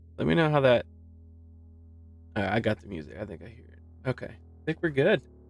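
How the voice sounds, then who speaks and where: Over background music, a man with a medium pitch talks at a fairly quick pace with long, frequent pauses. His pitch swings very widely and his loudness swings a lot, in a dry, close sound with no echo. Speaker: live stream host presenting a trading bot. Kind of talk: casual live stream tutorial. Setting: live stream with background music. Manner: casual, chatty.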